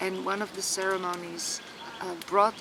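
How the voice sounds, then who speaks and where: Her voice is at a medium pitch. Clear background noise accompanies the woman. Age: 60s. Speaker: retreat organizer and healer. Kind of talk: personal testimony to camera. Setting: outdoors in a wood, sitting by a tree. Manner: halting, frequent word repetitions.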